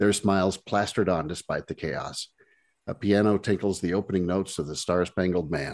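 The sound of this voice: Over a quiet background comes an unforced reading voice.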